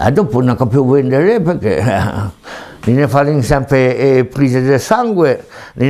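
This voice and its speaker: Fairly slow delivery over noticeable background noise. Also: man. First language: Tende Ligurian dialect (speaking French). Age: 70s. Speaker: retired goat and sheep herder. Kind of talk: dialect interview. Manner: halting.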